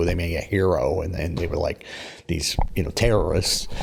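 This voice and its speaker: A man speaks at a fairly quick pace. His voice is very deep and low. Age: 60s. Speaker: stand-up comedian. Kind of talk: interview conversation. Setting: theatre space. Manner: halting, self-interrupting.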